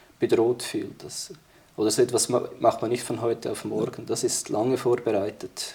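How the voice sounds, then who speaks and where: In a dark, mellow tone, a man speaks at a medium pitch, somewhat breathy, with monotone, flat intonation. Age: 30s. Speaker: military historian and security policy expert. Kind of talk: interview discussion.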